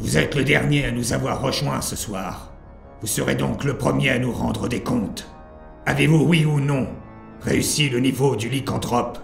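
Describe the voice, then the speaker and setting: A man's put-on character voice at medium pitch and moderate pace, with clear music in the background. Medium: audio drama. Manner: formal, commanding, slow.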